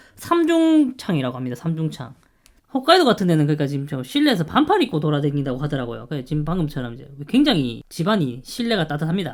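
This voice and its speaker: The speech comes at a very fast pace with big swings in loudness, on a very clean recording with a silent background. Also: man, fairly high pitch for a man. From Gyeongsang, South Korea. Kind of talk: casual talk to camera.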